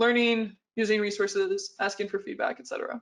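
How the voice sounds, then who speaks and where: At a fairly quick pace, a woman talks in an ordinary speaking voice with a fairly high pitch. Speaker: concept artist and illustrator. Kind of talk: conference talk. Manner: many filler words.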